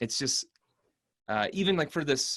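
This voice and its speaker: Over a quiet background, a man with a normal speaking voice talks at a moderate pace with lively intonation. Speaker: voice over artist and impersonator. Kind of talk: interview answer about craft. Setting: video call interview.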